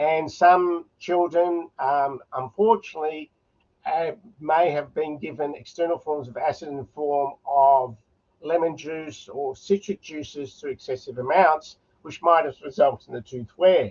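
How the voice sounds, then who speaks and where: In an Australian accent, a man talks at a fairly slow pace and a fairly high pitch, with ordinary pitch variation and big swings in loudness. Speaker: oral medicine specialist. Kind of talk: conference lecture.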